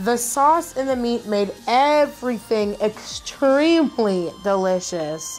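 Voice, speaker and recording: With music playing in the background, the voice carries lively intonation. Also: woman. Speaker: home vlogger. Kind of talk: narrated vlog voice-over.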